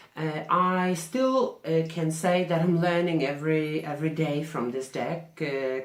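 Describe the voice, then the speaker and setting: A woman speaks at a fairly slow pace with a very deep, low pitch. Noticeable background noise and audible room echo are present. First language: not English. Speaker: tarot reader. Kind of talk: vlog answering questions. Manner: halting.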